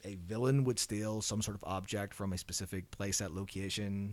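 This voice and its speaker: With an Irish accent, a man speaks at a moderate pace in a fairly low pitch. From Ireland. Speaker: behavior analyst researcher. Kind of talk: podcast interview.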